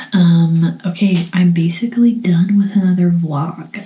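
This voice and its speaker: Soft-spoken and fairly low-pitched, a woman talks with fairly even intonation over noticeable background noise. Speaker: art vlogger. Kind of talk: casual vlog talk to camera. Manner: quiet, soft-spoken.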